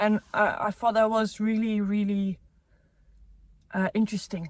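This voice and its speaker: Speaking at a fairly slow pace, a woman uses a fairly high pitch with monotone, flat intonation. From South Africa. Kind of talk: casual chat. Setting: in a car.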